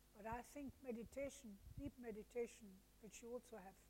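A woman speaks in a dark, mellow tone with vocal fry. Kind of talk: interview. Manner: halting.

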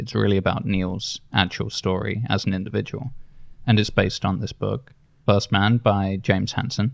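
With vocal fry and fairly even intonation, a man speaks at a moderate pace. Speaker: podcast host. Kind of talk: casual chat.

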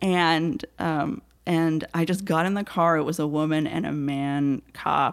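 In a very clean recording with a silent background, a woman talks with a normal speaking voice and ordinary pitch variation. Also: fairly low pitch for a woman, fairly slow pace. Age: 30s. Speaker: storyteller. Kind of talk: casual chat. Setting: studio.

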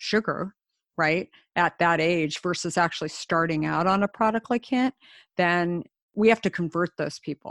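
A woman speaks in a normal speaking voice at a fairly low pitch and a fairly slow pace, dry and close with no echo on a very clean recording with a silent background. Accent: General American. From US Southwest, Scottsdale, Arizona. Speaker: company founder and CEO. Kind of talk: interview.

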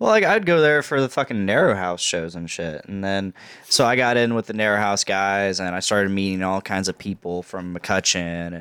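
In a very clean recording with a silent background and a dry, close sound with no echo, a man with an unremarkable speaking voice talks at a moderate pace with ordinary pitch variation and hardly any pauses. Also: fairly low pitch for a man. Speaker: podcast host. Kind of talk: casual banter podcast.

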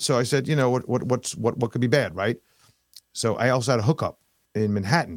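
A man with a New York accent speaks at a fairly quick pace in a medium pitch with ordinary variation, taking long, frequent pauses. The recording is very clean and silent in the background, with a dry, close sound and no echo. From New York (Queens, Long Island). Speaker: investment advisor. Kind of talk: casual interview chat.

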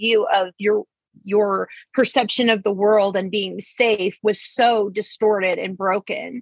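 A woman's fairly high, plain, everyday voice at a fairly slow pace with ordinary pitch variation. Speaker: podcast host. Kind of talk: casual interview.

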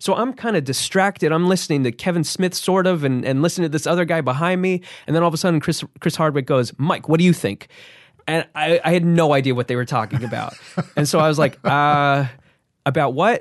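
A man with an American accent speaks at a fairly high pitch. His pace is fairly quick, with ordinary pitch variation. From New Jersey. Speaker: actor. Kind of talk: casual chat. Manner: halting.

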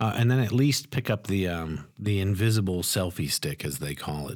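In an ordinary speaking voice, a man talks at a moderate pace with fairly low pitch and lively intonation. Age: 40s. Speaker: podcast co-host. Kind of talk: casual chat.

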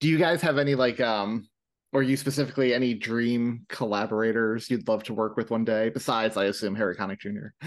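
Spoken in a normal speaking voice with an American accent. The pitch varies in an ordinary way over a quiet background. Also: man, medium pitch for a man. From New York. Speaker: podcast host. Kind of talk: casual interview chat.

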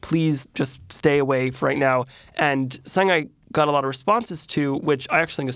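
Pitch shifts in an ordinary way. Nothing intrudes, as the recording is very clean and the background silent. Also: man. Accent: American. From New Jersey. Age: 20s. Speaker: celebrity chef and influencer. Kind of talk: interview. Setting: studio.

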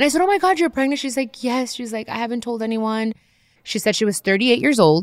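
A woman with an ordinary speaking voice talks at a fairly quick pace, her fairly high pitch carried by lively intonation over a very clean recording with a silent background. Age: 30s. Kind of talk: casual chat.

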